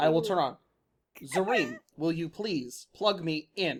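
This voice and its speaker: Someone speaks in a put-on character voice at a middle pitch. The delivery is fairly slow. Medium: actual play. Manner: blunt, literal.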